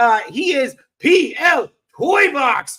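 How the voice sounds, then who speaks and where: A raised, projected voice with a bright, sharp tone. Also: man. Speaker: podcast host. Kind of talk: casual chat. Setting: hotel room. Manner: loud. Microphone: mic very close to mouth.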